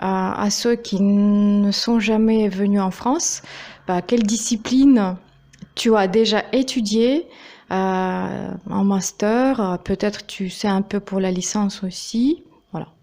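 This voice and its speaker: A woman with a Russian accent speaks at a very slow pace in a dark, mellow tone. The recording is very clean, with a silent background. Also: medium pitch for a woman, ordinary pitch variation. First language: Russian (speaking French). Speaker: YouTuber, interviewer. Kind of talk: interview. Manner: hesitant, many fillers.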